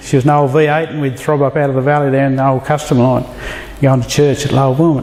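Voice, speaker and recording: The speaker has a rural Australian accent. Background noise is noticeable. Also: man. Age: 50s. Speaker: church member giving testimony. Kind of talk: testimony. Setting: men's fellowship dinner with audience.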